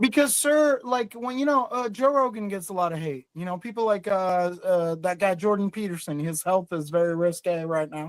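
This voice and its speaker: In a very clean recording with a silent background, a man with a high pitch speaks at a moderate pace with lively intonation. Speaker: caller. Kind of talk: heated debate. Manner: halting.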